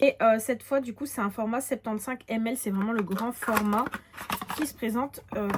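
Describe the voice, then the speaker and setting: Fairly quick and fairly high-pitched, a woman with a normal speaking voice talks with ordinary pitch variation. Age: 20s. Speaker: beauty youtuber. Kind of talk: product haul review. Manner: casual, with many fillers.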